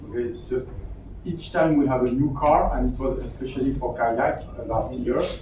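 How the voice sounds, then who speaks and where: Noticeable background noise and audible room echo fill the clip. A man speaks at a moderate pace. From Europe. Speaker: automotive after-sales executive. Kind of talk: round table discussion.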